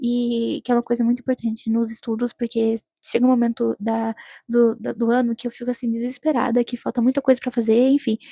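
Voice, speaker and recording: Dark and mellow in tone, a woman with a fairly high pitch talks at a fairly quick pace in a monotone, flat intonation, the sound dry and close with no echo. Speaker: student vlogger. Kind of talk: vlog narration. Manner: mumbled, slurred speech; hesitant, many fillers.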